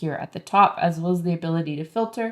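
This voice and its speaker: This is an unremarkable speaking voice at a moderate pace, with ordinary pitch variation. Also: woman. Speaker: online publishing coach. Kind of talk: screen-share tutorial. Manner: casual, with frequent fillers.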